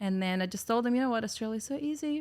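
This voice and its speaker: A woman speaks with a Russian accent in a very clean recording with a silent background. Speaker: podcast guest, business owner. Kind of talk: casual chat.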